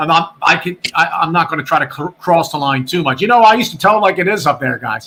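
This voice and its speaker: With a Virginia accent, a man talks at a very fast pace with hardly any pauses, his high pitch carrying a bright, sharp tone and ordinary pitch variation. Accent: picked up a Virginia. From Delaware County, Pennsylvania. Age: 60s. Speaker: former radio sports announcer. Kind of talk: casual chat. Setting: live stream podcast. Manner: animated.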